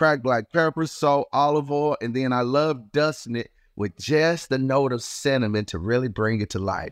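Southern US accent at a moderate pace, hardly any pauses, ordinary pitch variation, dry, close sound with no echo and a quiet background. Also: man, medium pitch for a man. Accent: Southern US, noticeable. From Chicago and Mississippi. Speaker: chef and TV host. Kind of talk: casual interview, trivia game.

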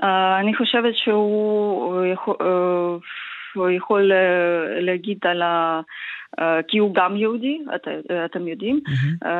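A woman with a Ukrainian accent, at a very slow pace. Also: medium pitch for a woman, ordinary pitch variation. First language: Ukrainian (speaking Hebrew). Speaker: member of parliament. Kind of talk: interview. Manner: halting.

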